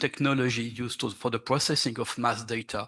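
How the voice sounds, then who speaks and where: In a French accent, a man speaks at a medium pitch with fairly even intonation against a quiet background. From France. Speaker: archaeologist. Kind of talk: conference presentation. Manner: halting.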